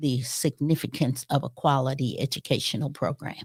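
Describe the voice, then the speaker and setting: A woman with an American accent speaks in a very deep, low pitch with monotone, flat intonation. The recording is very clean with a silent background and a dry, close sound with no echo. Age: 70s. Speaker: retired educator. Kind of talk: interview conversation.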